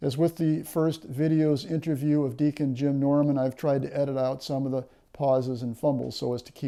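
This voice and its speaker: A man with a fairly high pitch and a dark, mellow tone talks at a fairly quick pace. He hardly pauses at all. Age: 60s. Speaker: interviewer for a diaconate office series. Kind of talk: interview; scripted introduction.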